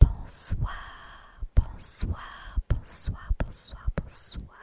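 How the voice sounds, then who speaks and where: Very slowly, a voice whispers while noticeable noise fills the background. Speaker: ASMR creator. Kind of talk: whispered ASMR book reading. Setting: home recording, studio microphone. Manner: whispered.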